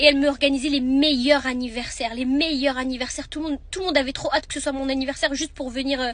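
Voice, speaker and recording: A woman with a high voice speaks at a very fast pace over noticeable background noise. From France, partly raised in Marrakech. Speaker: vlogger. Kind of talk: storytelling. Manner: casual, halting.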